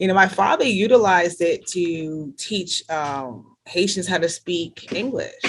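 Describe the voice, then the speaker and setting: With a slight New Jersey accent, a woman speaks at a fairly slow pace and medium pitch, with ordinary pitch variation and hardly any pauses. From New Jersey, US, Caribbean-born parents. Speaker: health care worker, church member. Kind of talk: interview. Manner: hesitant, many fillers.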